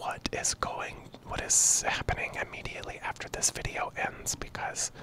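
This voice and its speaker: A man whispering. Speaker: channel creator. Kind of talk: casual vlog chat. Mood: frank, slightly frustrated. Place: home room. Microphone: handheld.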